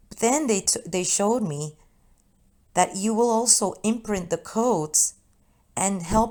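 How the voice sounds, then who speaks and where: A woman is speaking at a fairly slow pace. Her pitch variation is ordinary. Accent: Spanish. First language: Spanish. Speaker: spiritual channeler. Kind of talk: spiritual message monologue. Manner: halting.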